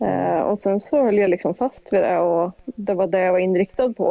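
Moderate pace and medium pitch from a woman with an ordinary speaking voice. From Dalsland, western Sweden. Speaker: police officer. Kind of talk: casual interview.

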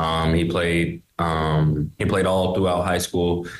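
Speaking fairly slowly, a man with an American accent and a very deep, low voice keeps a flat monotone. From US, Pittsburgh. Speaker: basketball player. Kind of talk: interview.

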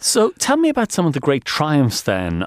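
A man with an Irish accent talks at a moderate pace in a very clean, silent recording with a dry, close sound and no echo. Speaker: radio host. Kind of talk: radio interview.

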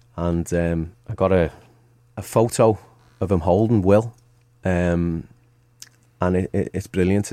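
With a Liverpool accent, a man with a very deep, dark, mellow voice speaks at a fairly slow pace. He leaves long, frequent pauses, and his intonation stays fairly even. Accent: Scouse (Liverpool). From Merseyside, Liverpool. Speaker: football manager, former player. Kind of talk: casual interview. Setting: studio.

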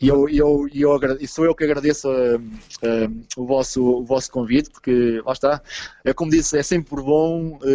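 Dark, mellow in tone, the voice keeps fairly even intonation, very even loudness, and a fairly slow pace. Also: man, fairly high pitch for a man. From Portugal. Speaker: goalkeeper coach. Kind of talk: interview.

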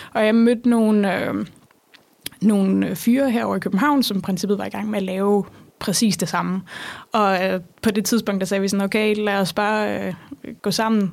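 Leaving long, frequent pauses, a woman speaks at medium pitch. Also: fairly even intonation, moderate pace. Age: 20s. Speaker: startup founder. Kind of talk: interview. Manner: hesitant, many fillers.

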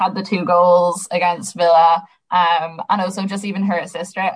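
The voice has an Irish accent and is somewhat breathy. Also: woman. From Ireland, Sligo. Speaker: podcast host. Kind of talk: casual chat.

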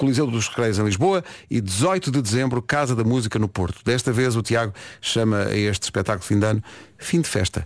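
On a very clean recording with a silent background, a man uses a normal speaking voice at a medium pitch and a fairly quick pace. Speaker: morning radio host. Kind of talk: casual chat. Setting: radio studio.

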